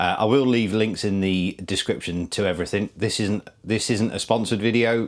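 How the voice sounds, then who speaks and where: A man with a British accent and fairly even intonation, on a very clean recording with a silent background. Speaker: motorcycle vlogger. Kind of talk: product review. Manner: halting, many fillers.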